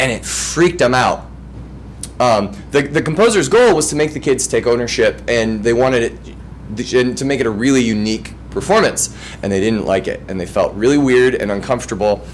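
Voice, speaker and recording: A man talks in an animated tone at a moderate pace against noticeable background noise. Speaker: music teacher. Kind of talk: presentation. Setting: school board meeting.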